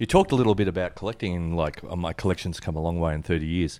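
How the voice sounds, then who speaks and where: Here a man speaks with an Australian accent. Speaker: collector podcast co-host. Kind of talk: casual chat. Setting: video call.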